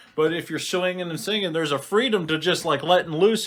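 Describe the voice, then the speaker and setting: Loud and at a very fast pace, a man with a fairly high pitch speaks on a very clean recording with a silent background. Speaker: podcast co-host, streamer. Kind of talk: casual chat.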